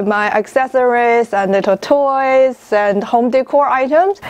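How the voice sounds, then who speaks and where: Her voice is high in pitch, with ordinary pitch variation, as this woman speaks at a fairly slow pace. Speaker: knitting podcast host. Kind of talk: casual vlog chat. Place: home room. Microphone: lapel.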